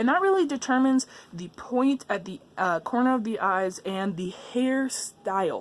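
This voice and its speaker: This woman's intonation is lively. Her voice rises and falls a lot. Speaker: art tutorial youtuber. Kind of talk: tutorial. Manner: halting; fast.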